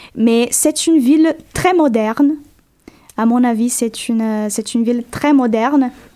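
With a Portuguese accent, a woman speaks fairly slowly in a high voice, her pitch varying in an ordinary way. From Brazil, Goiás (Goiânia). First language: Portuguese (speaking French). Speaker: graduate student. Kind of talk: radio interview.

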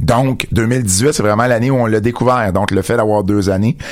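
In a Quebec accent, a man speaks at a moderate pace and a fairly low pitch with fairly even intonation over noticeable background noise. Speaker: wrestling radio show host. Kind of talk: casual radio chat. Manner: repetitive, stammering restarts.

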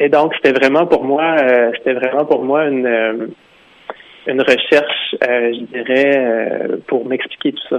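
A man with a Quebec accent and a fairly high pitch, very slow in pace and fairly even in intonation, over noticeable background noise. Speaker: author. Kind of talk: interview.

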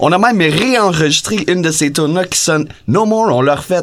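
Here a man speaks. His pitch swings very widely. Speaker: band member musician.

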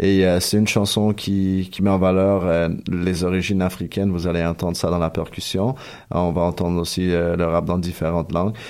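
At a moderate pace, the speaker holds a monotone, flat intonation and very even loudness. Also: man, very deep, low pitch for a man. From Chile. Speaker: hip-hop musician. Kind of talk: radio interview. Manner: halting.

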